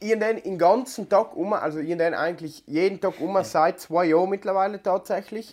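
In a South Tyrolean accent, the speaker talks at a moderate pace with hardly any pauses and ordinary pitch variation over a quiet background. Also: man, high pitch for a man. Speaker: podcast co-host. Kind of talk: casual chat.

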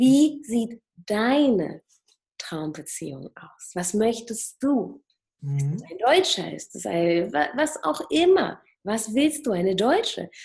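Somewhat breathy and fairly high-pitched, a woman talks at a very slow pace with very wide pitch swings and big swings in loudness. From Germany. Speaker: plastic surgeon and hypnotherapist. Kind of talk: interview.

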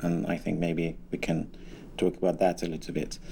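At a moderate pace, a man speaks with a Persian accent. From Iran. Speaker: blogger and journalist. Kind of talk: interview.

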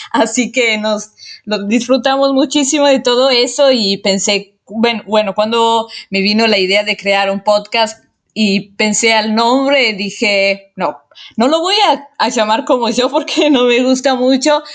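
A woman speaks at a fairly slow pace and a fairly high pitch, with ordinary pitch variation. Her loudness stays very even. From Italy. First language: Italian (speaking Spanish). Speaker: amateur podcast host. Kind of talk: casual monologue. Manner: hesitant with repetitions.

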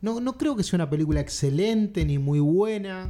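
A man speaks at a high pitch in a dark, mellow tone. His pace is fairly slow and his intonation lively. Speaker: film podcast host. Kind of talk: casual chat.

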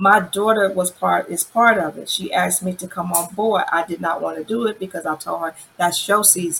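Barely pausing at all, a woman keeps up a moderate pace. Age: 40s. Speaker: aspiring model, single mother. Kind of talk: interview. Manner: animated.

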